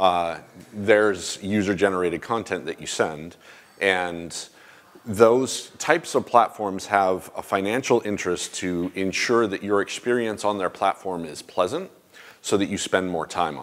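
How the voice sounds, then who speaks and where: A man with a normal speaking voice talks at a moderate pace in a fairly low pitch. His pitch varies in an ordinary way while his loudness swings widely. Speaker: conference presenter. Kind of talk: conference talk. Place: hall.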